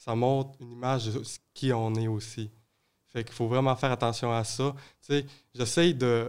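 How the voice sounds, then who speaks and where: A man's medium-pitched, monotone voice with flat intonation, a moderate pace and big swings in loudness, on a very clean recording with a silent background. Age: young. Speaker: youth environmental advocate. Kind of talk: casual chat. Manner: halting.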